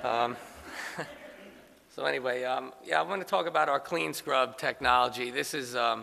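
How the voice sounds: A man's medium-pitched voice with vocal fry, a bright, sharp tone and a New York accent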